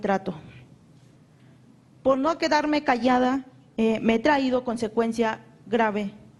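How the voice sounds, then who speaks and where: A woman with a fairly high pitch and ordinary pitch variation talks at a fairly slow pace, leaving long, frequent pauses. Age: 20s. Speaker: human rights victim. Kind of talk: testimony. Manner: halting.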